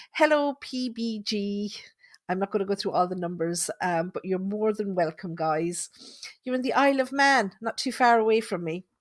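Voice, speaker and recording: With a Tipperary accent, a woman of medium pitch talks at a moderate pace with lively intonation, the sound dry and close with no echo on a very clean recording with a silent background. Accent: Irish (Tipperary). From Ireland, Thurles, Tipperary. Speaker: psychic medium. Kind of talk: casual live podcast monologue. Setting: live podcast from home.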